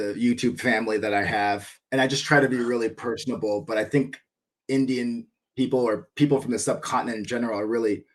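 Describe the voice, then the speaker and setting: Very fast speech with an American accent and fairly even intonation. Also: man, medium pitch for a man. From US Midwest (northern Michigan). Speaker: cricket YouTuber. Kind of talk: casual chat.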